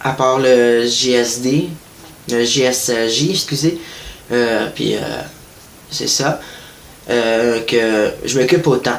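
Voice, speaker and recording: A man with a Quebec accent speaks at a very slow pace with fairly even intonation and long, frequent pauses, amid audible room echo and noticeable background noise. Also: medium pitch for a man. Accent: Québécois French. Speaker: online news page creator. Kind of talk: casual monologue. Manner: hesitant, many fillers.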